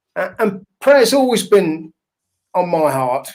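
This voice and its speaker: With a northern English accent, a high-voiced man speaks at a fairly slow pace using lively intonation. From northern England. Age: 60s. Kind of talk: interview. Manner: hesitant, with fillers.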